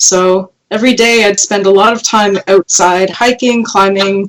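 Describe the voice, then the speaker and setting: A woman speaks with a Canadian accent at medium pitch. Hers is an unremarkable speaking voice with fairly even intonation. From Canada, northern Quebec. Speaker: paleoartist and web series host. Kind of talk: podcast interview.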